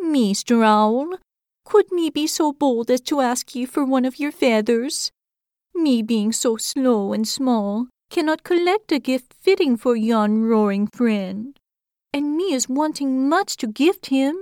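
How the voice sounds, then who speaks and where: A female-sounding, put-on character voice speaks at a high pitch. The tone is timid and the pace fairly slow. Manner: timid, humble, pleading.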